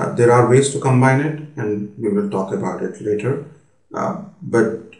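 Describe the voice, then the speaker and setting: A man's medium-pitched voice at a moderate pace, with audible room echo. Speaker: business consultant. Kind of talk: lecture. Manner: hesitant, many fillers.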